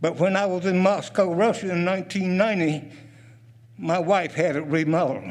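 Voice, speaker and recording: A man speaks in a high pitch with a Southern US accent and fairly even intonation. His moderate pace carries an audible room echo. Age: 80s+. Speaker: retired military and State Department veteran. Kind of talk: public comment at county meeting.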